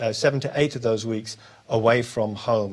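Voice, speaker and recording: With a British accent, a man talks at a fairly quick pace and keeps his intonation fairly even. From United Kingdom. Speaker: senior corrections official hosting Q&A. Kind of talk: live question-and-answer session. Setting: live broadcast with guests.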